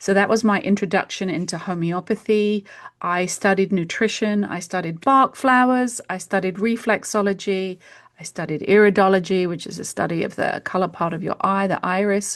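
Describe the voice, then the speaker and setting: Against a quiet background, a woman with a British accent speaks in fairly even intonation. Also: medium pitch for a woman, moderate pace. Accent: British accent, kept after years in US. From UK. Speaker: homeopath. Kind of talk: interview conversation.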